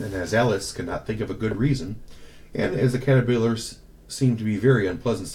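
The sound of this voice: An unforced reading voice carries the whole clip.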